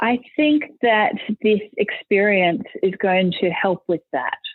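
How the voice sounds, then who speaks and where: A woman with an Australian accent, medium in pitch, at a fairly slow pace. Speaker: school leader. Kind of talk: podcast interview answer.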